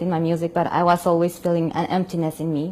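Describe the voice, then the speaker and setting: Speaking with a Spanish accent, a woman uses a monotone, flat intonation. Her voice has a dark, mellow tone and a fairly low pitch. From Colombia. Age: 40s. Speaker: opera singer and convert. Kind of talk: testimony. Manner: halting, frequent repetitions.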